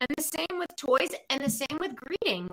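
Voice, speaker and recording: At a moderate pace, a woman talks with a bright, sharp tone and lively intonation. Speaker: pet psychic and animal communicator. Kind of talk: casual chat. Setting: live video stream.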